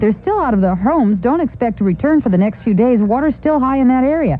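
Lively intonation from a woman, set against noticeable background noise. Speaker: radio news reporter. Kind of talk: radio news report. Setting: radio newsroom. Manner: brisk, formal, urgent.

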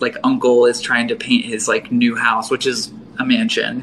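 Here a man talks with an American accent. His pace is fairly slow, and there is noticeable background noise. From western Pennsylvania. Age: 20s. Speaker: artist and baker. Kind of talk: casual chat.

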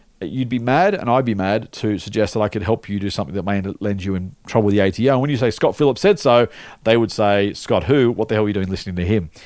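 A man with an Australian accent, medium-pitched and very fast, with lively intonation on a very clean recording with a silent background. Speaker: investment podcast host. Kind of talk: casual chat.

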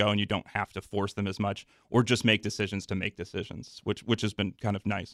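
A man with a fairly low voice at a very fast pace, with fairly even intonation in a dry, close sound with no echo on a very clean recording with a silent background. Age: 30s. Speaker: soccer supporters group organizer. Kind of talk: podcast interview. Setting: studio.

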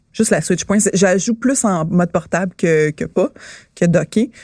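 A woman with a Quebec accent, animated in tone and lively in intonation, at a fairly slow pace, with a dry, close sound and no echo. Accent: Québécois French. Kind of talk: casual chat. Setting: studio streamed live on Twitch.

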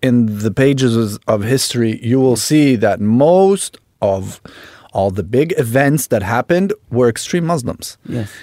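A man talks with a dark, mellow tone. His pace is moderate and his intonation lively. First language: Italian. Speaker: actor and model. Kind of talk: casual interview chat. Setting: studio.

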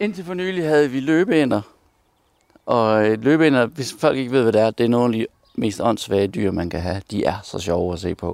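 Speaking at a moderate pace, a man with a medium-pitched voice moves through very wide pitch swings. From Denmark, Aarhus. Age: 40s. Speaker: entertainer. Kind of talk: casual interview.

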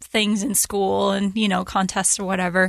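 A woman with an American accent in a normal speaking voice, medium pitch, quiet background. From Utah. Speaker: painter. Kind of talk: interview conversation.

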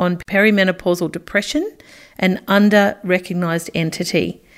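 Fairly quick speech from a woman at a medium pitch. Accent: Australian. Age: 50s. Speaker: podcast host and journalist. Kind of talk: interview podcast.

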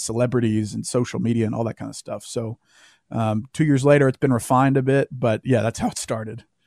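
A man's medium-pitched voice in a Southern US accent, monotone and flat, with a dry, close sound with no echo on a very clean recording with a silent background. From US South, Louisiana. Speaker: author and former Marine. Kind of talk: interview.

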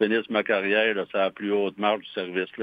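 In a Quebec accent, a man speaks with a fairly low pitch. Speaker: fire chief. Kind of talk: interview. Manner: halting.

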